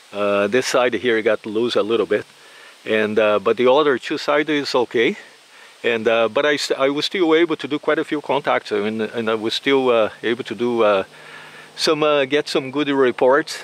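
At a medium pitch, a man talks at a moderate pace with ordinary pitch variation.

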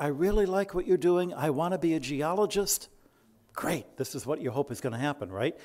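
His pitch is fairly high for a man. He talks with an American accent. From US Midwest (Detroit). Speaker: astronomer and Jesuit brother; guest. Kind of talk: after-dinner talk. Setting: stage with audience. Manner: animated. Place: hall. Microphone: podium.

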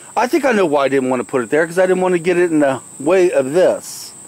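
Dry and free of echo, a man's high-pitched voice moves at a fairly quick pace. His pitch swings very widely. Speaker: home vlogger. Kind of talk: casual vlog chat. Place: garden. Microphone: phone near.

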